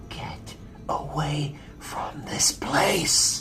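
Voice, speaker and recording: Someone whispers in a put-on character voice. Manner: morbid, grim; whispering.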